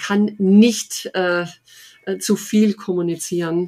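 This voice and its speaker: Speaking at a very slow pace, a woman with a medium pitch and a dark, mellow tone keeps her intonation fairly even. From Oberschwaben, southern Germany. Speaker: head of recruiting at a large company. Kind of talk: interview. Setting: home office. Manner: many fillers, hesitant.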